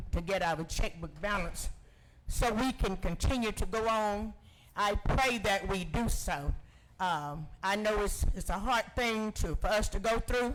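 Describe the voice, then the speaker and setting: A man with a Georgia accent talks at a high pitch and a fairly slow pace, with ordinary pitch variation. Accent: Southern US, Georgia. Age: 70s. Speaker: public commenter. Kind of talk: public comment at meeting. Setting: county commission meeting.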